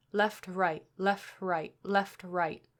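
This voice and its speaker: Putting on a growling character voice, a woman with a medium pitch speaks with monotone, flat intonation. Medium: read story. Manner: snarling, gloating.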